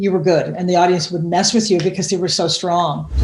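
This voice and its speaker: Fairly quick, somewhat breathy speech from a woman. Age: 60s. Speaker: comedian and TV writer. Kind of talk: interview. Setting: podcast. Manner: animated; halting.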